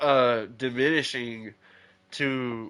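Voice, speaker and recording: A man speaks at a medium pitch with a bright, sharp tone, very slowly. His intonation is monotone and flat against a quiet background. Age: 30s. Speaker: gaming streamer. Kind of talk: live gameplay commentary. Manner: casual, rambling with fillers.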